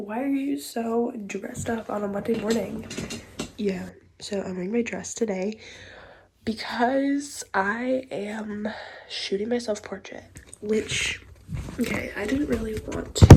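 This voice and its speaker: Fairly high-pitched woman at a fairly slow pace, with ordinary pitch variation over noticeable background noise. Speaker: lifestyle vlogger. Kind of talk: casual vlog talk. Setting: outdoors.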